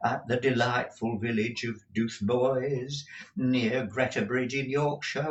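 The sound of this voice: Fairly even intonation from a reader whose voice is unforced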